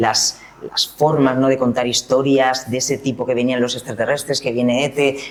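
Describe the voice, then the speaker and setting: A man with a medium pitch talks at a moderate pace while noticeable background noise carries on behind him. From Valencian Community, Spain. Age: 40s. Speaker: singer, dancer and choreographer. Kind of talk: interview. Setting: art gallery in Madrid.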